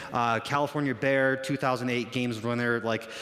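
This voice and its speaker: Male voice of medium pitch at a fairly quick pace, with noticeable background noise. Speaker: fitness coach. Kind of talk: conference talk. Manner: loud; animated.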